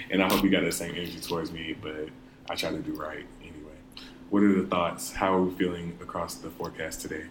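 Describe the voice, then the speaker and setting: The speech runs at a very fast pace with fairly even intonation, and audible room echo surrounds it. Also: man, very deep, low pitch for a man. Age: 20s. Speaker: student podcast co-host. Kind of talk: casual chat.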